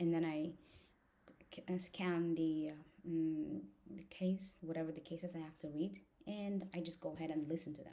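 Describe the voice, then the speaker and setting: Speaking at a moderate pace with a non-native accent, a woman has a dark, mellow tone at a fairly low pitch with ordinary pitch variation. Her loudness swings widely, and she leaves long, frequent pauses. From outside the US, foreign-educated immigrant. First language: not English. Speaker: law student and vlogger. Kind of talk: casual vlog talk to camera. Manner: halting, with many fillers.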